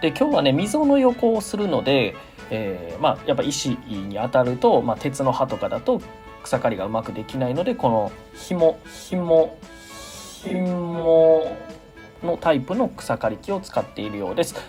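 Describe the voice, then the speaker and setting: Over music in the background, a man speaks at a fairly slow pace with very wide pitch swings. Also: fairly high pitch for a man. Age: 30s. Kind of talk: after-recorded narration.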